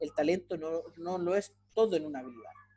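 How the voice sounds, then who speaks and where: A man speaks with a high pitch. His tone is dark and mellow. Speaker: university lecturer. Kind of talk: lecture. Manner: fast.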